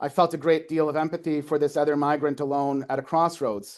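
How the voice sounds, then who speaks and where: Against a quiet background, a man with a fairly high pitch and a Canadian Maritime accent speaks at a very fast pace. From Canada, Prince Edward Island. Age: 40s. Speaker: folklore lecturer. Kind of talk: academic talk, reading aloud a prepared piece. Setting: lecture with live audience. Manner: hesitant with fillers.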